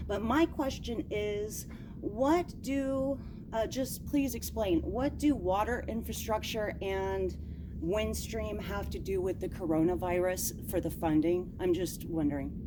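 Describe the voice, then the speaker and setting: A woman takes a fairly slow pace, her voice carrying audible room echo. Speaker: citizen at public comment. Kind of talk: public comment. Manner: loud.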